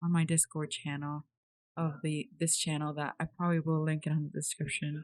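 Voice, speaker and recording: Recorded with a dry, close sound and no echo, a woman speaks in a fairly low, somewhat breathy voice with ordinary pitch variation. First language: not English. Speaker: 3D artist YouTuber. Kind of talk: casual chat. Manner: animated.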